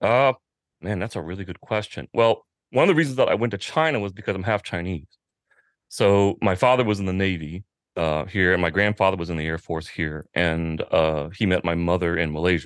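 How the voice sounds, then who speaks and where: A man speaks at a fairly quick pace with an American accent, his pitch very deep and low. The sound is dry and close with no echo, the background is quiet, and his pitch varies in an ordinary way. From Washington, D.C. suburbs (Arlington, Virginia). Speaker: motorcycle magazine publisher. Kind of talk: casual interview conversation.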